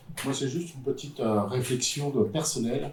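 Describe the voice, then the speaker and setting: A man at a fairly quick pace, with noticeable background noise behind him. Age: 60s. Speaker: pulmonologist. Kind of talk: panel discussion.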